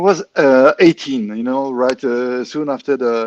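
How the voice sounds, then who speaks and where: With a French accent, a man talks at a fairly high pitch with ordinary pitch variation, the sound dry and close with no echo. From France. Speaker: clarinetist. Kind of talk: interview. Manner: halting, many fillers.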